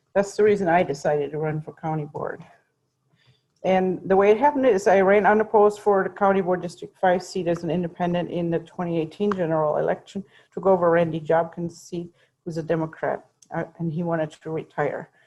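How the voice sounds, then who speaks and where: Speaking at a fairly quick pace with a German accent, a woman has a fairly low pitch and a dark, mellow tone. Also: ordinary pitch variation. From Germany. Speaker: county board member. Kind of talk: public presentation.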